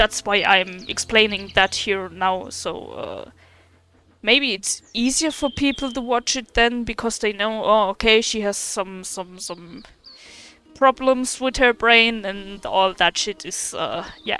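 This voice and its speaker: With music in the background, a woman speaks at a very slow pace. Her fairly high voice carries a German accent. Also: ordinary pitch variation. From Germany. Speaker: gaming streamer. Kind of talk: casual chat. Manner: halting, repeats words; mispronounces words.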